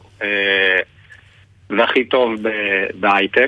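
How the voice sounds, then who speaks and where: The voice belongs to a man. His pitch doesn't move much. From Israel, ultra-Orthodox community. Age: 30s. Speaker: nonprofit community manager. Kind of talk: radio interview. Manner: halting.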